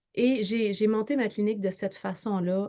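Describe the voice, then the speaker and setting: The woman has a Quebec accent and a fairly high pitch. She speaks at a fairly slow pace. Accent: Québécois French. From Quebec, northern. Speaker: entrepreneur and network marketer. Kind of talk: interview. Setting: live video stream. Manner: halting, many repetitions and fillers.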